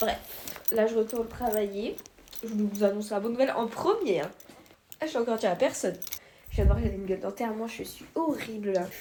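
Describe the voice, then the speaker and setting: A woman speaks at a fairly high pitch with ordinary pitch variation, and there is noticeable background noise. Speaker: vlogger. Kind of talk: vlog, casual talk to camera. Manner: hesitant, many fillers; fast.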